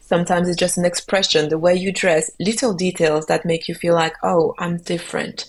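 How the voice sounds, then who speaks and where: A woman with a French accent speaks at a fairly quick pace, with hardly any pauses. Her pitch is fairly low and her intonation fairly even. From Belgium, Cameroonian father. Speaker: singer-songwriter, kora player. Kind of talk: interview conversation.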